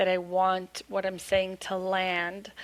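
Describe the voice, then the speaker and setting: A woman talks fairly slowly, her pitch sitting in the medium range. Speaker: storytelling coach. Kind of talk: podcast interview. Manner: slow, deliberate pace; articulate, clear enunciation.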